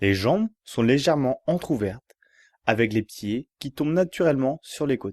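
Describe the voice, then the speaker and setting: In a dry, close sound with no echo and a quiet background, a man speaks fairly slowly with lively intonation and a calm, soothing tone. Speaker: yoga relaxation guide. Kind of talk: yoga nidra guided relaxation for sleep. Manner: calm, slow, soothing.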